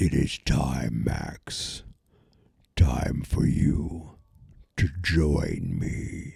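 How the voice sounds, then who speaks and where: Using a put-on character voice, a man growls at a very slow pace with a very deep, low pitch and long, frequent pauses. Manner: menacing.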